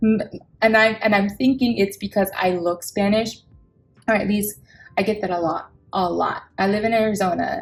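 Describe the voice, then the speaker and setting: Against music in the background, a woman speaks at a moderate pace and medium pitch. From Samoa. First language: Samoan. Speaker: budgeting vlogger. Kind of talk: casual chat. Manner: animated.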